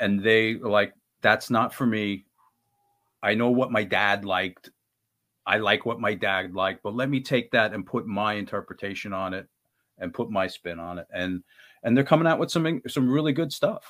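A man with an unremarkable speaking voice, fairly low in pitch, ordinary pitch variation and a moderate pace. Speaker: band guitarist. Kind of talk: casual interview chat.

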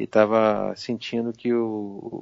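Speaking very slowly, a man with a fairly low voice keeps a monotone, flat intonation. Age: 40s. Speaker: journalist and game caster. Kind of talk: casual chat.

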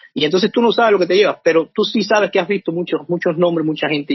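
This man's voice sits high in pitch. Its variation is ordinary. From Cuba. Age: 50s. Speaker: author. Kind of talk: interview. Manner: hesitant, many fillers.

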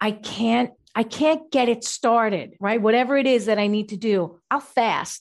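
A woman with an ordinary speaking voice and fairly high pitch speaks at a fairly slow pace against a quiet background. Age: 50s. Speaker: natural food chef and health coach. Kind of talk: interview.

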